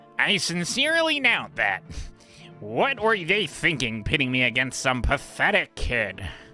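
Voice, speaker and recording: Over clear background music, a man does a put-on character voice at a moderate pace, fairly high in pitch. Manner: dismissive, condescending.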